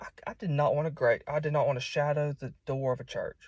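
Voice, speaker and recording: Speaking with a strong Southern US accent, a man moves at a fairly quick pace. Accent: strong southern US, hillbilly. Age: 20s. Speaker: preacher. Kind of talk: informal sermon. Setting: self-recorded at home. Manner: halting, many repeats and fillers.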